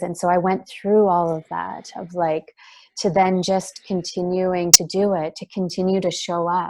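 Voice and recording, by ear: A soft-spoken woman talks at a moderate pace with fairly low pitch and a dark, mellow tone. Her intonation is fairly even.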